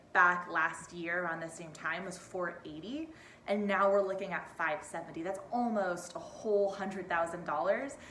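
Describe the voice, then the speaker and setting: Ordinary pitch variation with audible room echo. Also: woman. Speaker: real estate agent. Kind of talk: market update video. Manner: fast; casual, chatty.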